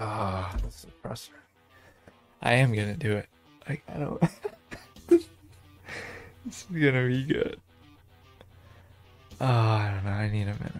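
A man's speech with long, frequent pauses and ordinary pitch variation, music playing in the background. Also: medium pitch for a man, moderate pace. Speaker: streamer. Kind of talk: gaming commentary. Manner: soft-spoken.

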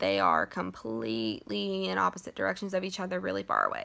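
A woman's voice over a quiet background. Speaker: book vlogger. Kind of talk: casual vlog chat. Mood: animated, mildly annoyed. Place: home room. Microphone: phone near.

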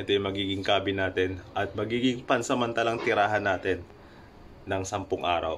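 Light background noise is present as a man speaks in an ordinary speaking voice. His fairly low pitch stays fairly even, and his pace is fairly quick. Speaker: cruise ship crew member vlogger. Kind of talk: casual vlog chat. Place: home room. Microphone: phone near.

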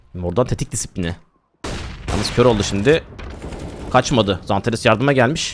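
A fairly quick pace broken by long, frequent pauses, with ordinary pitch variation. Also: man, medium pitch for a man. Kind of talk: esports match commentary, play-by-play of a CS round. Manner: animated, excitable, rapid-fire, laughing at big plays; uses 'we' for the team, a partisan fan-caster tone.

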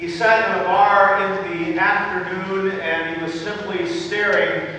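A raised, projected voice with fairly even intonation rings out over light background noise in strong room echo. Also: man. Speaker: pastor. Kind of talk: sermon. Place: church.

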